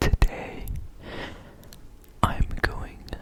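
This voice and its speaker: A whisper moves along very slowly through noticeable background noise. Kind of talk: ASMR educational talk, guitar lesson. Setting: close-mic ASMR recording with guitar sounds.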